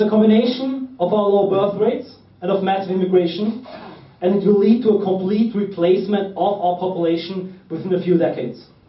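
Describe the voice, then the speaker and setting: Amid audible room echo, a man with a German accent speaks at a fairly quick pace in a high pitch with ordinary pitch variation. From Austria. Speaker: political activist. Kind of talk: political speech.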